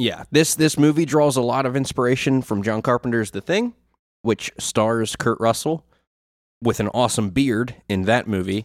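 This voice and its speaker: A man speaks with a plain, everyday voice at medium pitch and a moderate pace, with ordinary pitch variation. The recording is very clean and dry, close and without echo, over a silent background. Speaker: podcast co-host and editor. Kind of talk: casual chat. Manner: laughs often.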